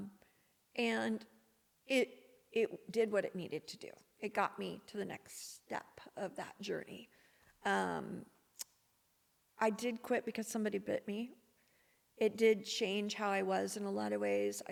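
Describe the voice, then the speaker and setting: A soft-spoken woman talks with an American accent. She leaves long, frequent pauses. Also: fairly slow pace. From Missouri, USA. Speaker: podcast guest. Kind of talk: podcast interview answer, personal storytelling.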